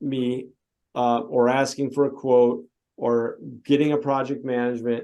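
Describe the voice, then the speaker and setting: This man speaks with a tone that is dark and mellow. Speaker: software sales presenter. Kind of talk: product demo. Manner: animated.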